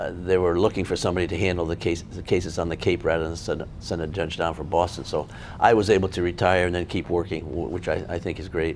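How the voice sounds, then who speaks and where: A man with an American accent talks at a very fast pace with hardly any pauses. His very deep, low voice keeps fairly even intonation. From Connecticut, US. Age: 70s. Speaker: retired federal judge. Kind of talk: oral history interview. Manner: halting, many false starts.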